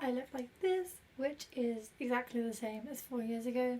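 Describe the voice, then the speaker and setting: A woman talks at a moderate pace in a high-pitched voice. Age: 20s. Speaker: vlogger. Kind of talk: casual vlog monologue. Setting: train station. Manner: soft-spoken.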